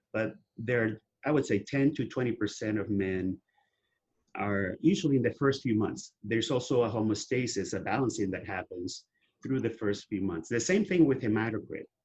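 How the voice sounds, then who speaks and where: A man's somewhat breathy voice at a medium pitch with ordinary pitch variation. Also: moderate pace. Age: 60s. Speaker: testosterone therapy advocate. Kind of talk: interview.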